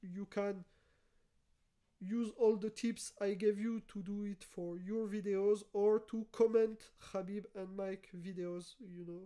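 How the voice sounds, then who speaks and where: Speaking at a fairly slow pace, a woman with a non-native accent uses a medium-pitched, dark, mellow tone and monotone, flat intonation. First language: not English. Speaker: YouTuber, former developer. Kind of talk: tutorial. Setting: live stream.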